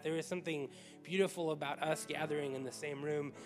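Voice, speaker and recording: Over clear background music, a man speaks in a monotone with flat intonation. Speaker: pastor. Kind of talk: sermon-style welcome to an online congregation. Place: church. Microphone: handheld.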